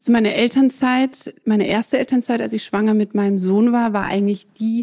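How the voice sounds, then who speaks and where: A woman's fairly high, dark and mellow voice with fairly even intonation, on a very clean recording with a silent background. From southern Germany. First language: French (speaking German). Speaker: fashion entrepreneur. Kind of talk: interview.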